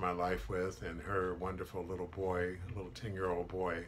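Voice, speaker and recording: Light background noise sits behind a man with a very deep, low pitch. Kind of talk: personal testimony to camera. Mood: earnest, reflective about hardship. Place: office. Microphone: webcam.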